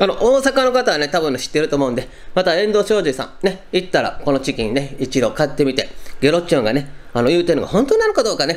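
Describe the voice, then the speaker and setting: Moving at a fairly quick pace, a man's voice swings very widely in pitch. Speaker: food reviewer. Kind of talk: casual vlog chat. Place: home room. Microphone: camera far.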